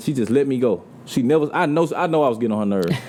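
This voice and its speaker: A man talks over noticeable background noise. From US South, Mobile, Alabama. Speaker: R&B singer. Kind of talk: casual chat.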